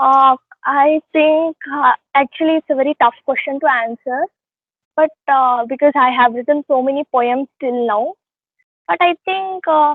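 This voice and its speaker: Speaking in a Telugu accent, a woman with a high voice goes at a fairly slow pace with ordinary pitch variation. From India, Karnataka. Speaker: poet. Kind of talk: interview. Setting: online call. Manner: hesitant, many fillers.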